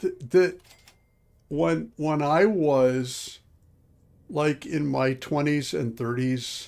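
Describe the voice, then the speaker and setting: A man talks at a fairly high pitch and a very slow pace. He leaves long, frequent pauses. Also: ordinary pitch variation. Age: 60s. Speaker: gaming streamer. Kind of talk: casual chat. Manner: halting.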